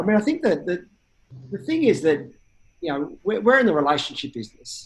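A man with an Australian accent talks very fast, his pitch swinging very widely. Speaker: insurance startup CEO. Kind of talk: interview. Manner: halting, repeats words.

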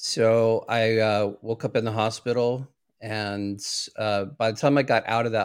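A man with an ordinary speaking voice, medium pitch, fairly even intonation and a fairly slow pace, in a very clean recording with a silent background. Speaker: therapist and trainer. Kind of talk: interview. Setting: live video show.

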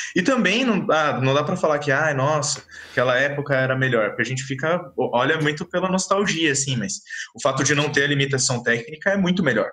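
Noticeable background noise sits behind a man talking at a fairly quick pace. He has a fairly high pitch and ordinary pitch variation. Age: 20s. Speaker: podcast co-host. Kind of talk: casual chat.

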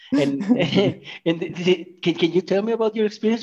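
A man talks at a moderate pace with a Mexican accent. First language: Spanish. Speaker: podcast host. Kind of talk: casual interview.

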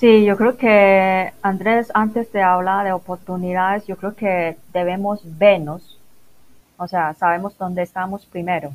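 A woman at medium pitch, with fairly even intonation and a fairly slow pace. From Macau. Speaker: business internationalization consultant. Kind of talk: interview. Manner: halting.

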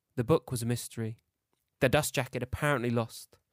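A man talks at a fairly quick pace in a plain, everyday voice of medium pitch, with ordinary pitch variation, recorded very cleanly against a silent background with a dry, close sound and no echo. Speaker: fiction podcaster reading his own story. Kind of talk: horror fiction narration, read aloud. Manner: measured, suspenseful storytelling pace.

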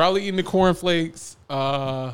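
A man with a slight Southern US accent. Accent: slight Southern twang. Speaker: podcast host. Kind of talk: casual chat. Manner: laid-back, joking.

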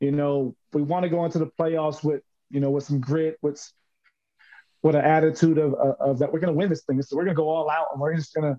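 In a New York accent, a man speaks at a fairly high pitch with a dark, mellow tone. His intonation is monotone and flat, and the sound is dry and close with no echo. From US Northeast, Brooklyn, New York. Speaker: basketball coach and educator. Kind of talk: interview.

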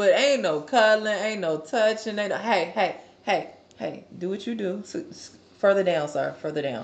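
At a moderate pace, a woman talks in a plain, everyday voice with lively intonation. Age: 20s. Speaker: podcast co-host. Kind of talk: casual chat.

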